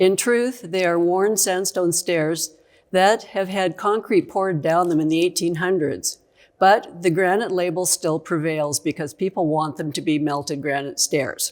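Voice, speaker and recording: An unremarkable speaking voice from a woman, fairly low in pitch and fairly slow, with ordinary pitch variation, in a very clean recording with a silent background. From Canada (Saskatchewan). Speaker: geologist. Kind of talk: conference presentation, educational lecture. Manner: conversational, lively.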